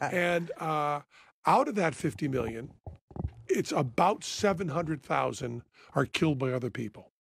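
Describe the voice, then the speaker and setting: A man's somewhat breathy voice at a fairly high pitch, lively in intonation, at a moderate pace with long, frequent pauses, in a very clean recording with a silent background. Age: 60s. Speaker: guest on a talk show. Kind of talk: casual chat.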